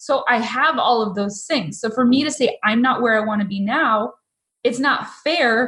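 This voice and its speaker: Her pitch high and showing ordinary variation, a woman speaks with an American accent. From Massachusetts. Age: 40s. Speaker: photographer and coach. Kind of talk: interview conversation.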